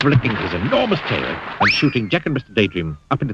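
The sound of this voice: Someone reads in an unforced reading voice.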